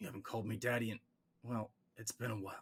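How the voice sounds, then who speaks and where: A man puts on a raspy character voice at a medium pitch. He speaks very fast with monotone, flat intonation. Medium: read story.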